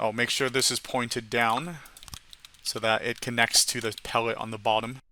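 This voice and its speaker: His tone comes across bright and sharp. The man's pitch sits in the medium range. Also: fairly even intonation, moderate pace. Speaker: gaming tutorial creator. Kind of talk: tutorial.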